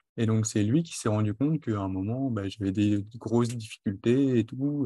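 The recording has a dry, close sound with no echo. A man speaks at a moderate pace. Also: quiet background. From western France (Charente-Maritime, then Marne). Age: 20s. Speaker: cook with dyspraxia. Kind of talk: interview. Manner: articulate.

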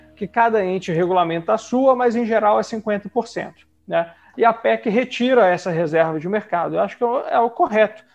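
Pitched high for a man, this male voice moves at a moderate pace with lively intonation. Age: 30s. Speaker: federal congressman. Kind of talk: interview.

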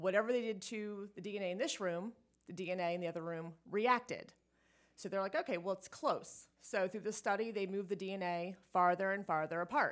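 Talking at a fairly quick pace, a woman uses a medium pitch with ordinary pitch variation. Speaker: energy healer. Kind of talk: casual interview. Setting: in person, same room as host. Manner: rambling, overtalking.

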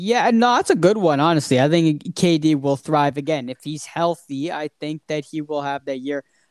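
In a plain, everyday voice, a man speaks at a moderate pace with a fairly high pitch, ordinary pitch variation and hardly any pauses. The sound is dry and close with no echo, on a very clean recording with a silent background. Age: 20s. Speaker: sports podcast host. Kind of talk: casual chat.

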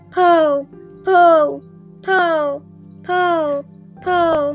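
Over clear music in the background, a squeaky, put-on character voice performs.

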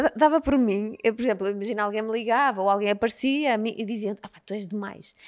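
A woman with an unremarkable speaking voice talks at a medium speed, her pitch rather high and moving in a normal way. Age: 40s. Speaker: nutritionist. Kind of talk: casual interview chat.

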